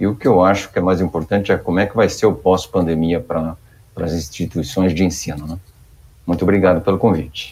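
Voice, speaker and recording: This man has a very deep, low pitch and fairly even intonation, speaking at a fairly quick pace. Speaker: IT manager at public education institution. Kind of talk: panel discussion.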